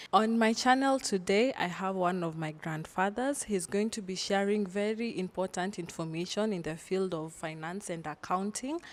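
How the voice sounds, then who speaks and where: A woman with an unremarkable speaking voice and a medium pitch talks at a moderate pace with hardly any pauses. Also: ordinary pitch variation. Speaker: lawyer. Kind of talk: casual talk to camera.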